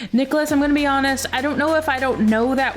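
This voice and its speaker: Music plays in the background as a woman speaks. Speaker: livestreamer knitting on stream. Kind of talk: casual live stream chat. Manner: loud.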